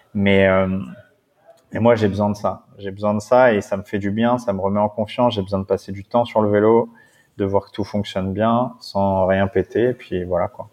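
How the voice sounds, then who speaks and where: At a moderate pace, a man speaks in a monotone, flat intonation. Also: fairly low pitch for a man. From Paris suburbs (Seine-Saint-Denis). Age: 30s. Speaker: adventurer and endurance cyclist. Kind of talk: casual interview.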